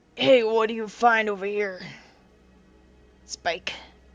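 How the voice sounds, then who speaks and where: Using a put-on character voice, a woman talks at a fairly slow pace with a fairly high pitch and fairly even intonation. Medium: actual play.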